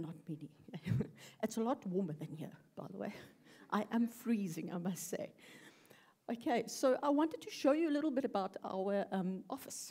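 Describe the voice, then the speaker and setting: At a moderate pace, a woman with a dark, mellow, somewhat breathy tone speaks with very wide pitch swings and long, frequent pauses. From South Africa. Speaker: UX researcher. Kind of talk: conference talk. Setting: stage with audience.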